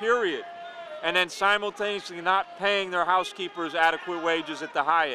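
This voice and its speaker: Over noticeable background noise, a man speaks at a fairly quick pace in a raised, projected voice, the sound dry with no echo. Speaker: union activist. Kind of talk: interview answers, fiery political speech. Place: street. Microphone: handheld.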